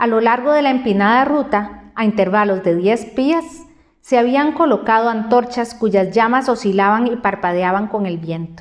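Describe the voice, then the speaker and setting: With a normal speaking voice, a woman talks fairly slowly at a fairly high pitch and ordinary pitch variation. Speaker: journalist and broadcaster. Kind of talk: audiobook reading.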